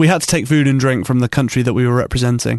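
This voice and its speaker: Recorded with a dry, close sound and no echo, a man speaks in a British accent. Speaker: radio host. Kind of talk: casual chat. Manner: joking, banter.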